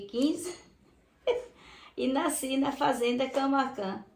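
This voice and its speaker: Lively intonation from a woman at a fairly slow pace, with audible room echo. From Brazil, southern Bahia. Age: 70s. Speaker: retired teacher. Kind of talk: interview testimony.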